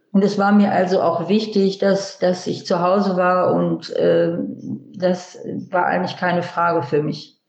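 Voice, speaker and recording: A woman speaks fairly slowly with flat, monotone intonation. Audible room echo surrounds her voice. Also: medium pitch for a woman. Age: 70s. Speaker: interviewee, host's mother. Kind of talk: personal storytelling, voice messages. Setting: voice message or speakerphone.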